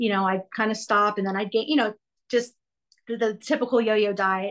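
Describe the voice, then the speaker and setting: Over a quiet background, an unremarkable speaking voice carries ordinary pitch variation. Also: woman. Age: 40s. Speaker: helping professional working with children, podcast guest. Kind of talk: personal testimony in a coaching session.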